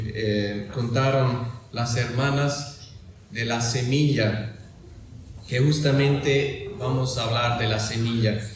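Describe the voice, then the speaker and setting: Very slowly, a man speaks with ordinary pitch variation amid noticeable background noise and audible room echo. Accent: German. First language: German (speaking Spanish). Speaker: lay preacher. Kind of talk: sermon. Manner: halting.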